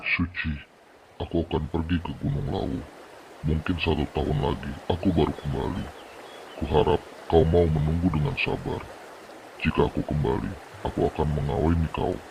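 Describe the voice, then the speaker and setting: Putting on a character voice, a man speaks at a moderate pace with a very deep, low pitch and long, frequent pauses. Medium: audio drama. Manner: harsh, insulting, explosive.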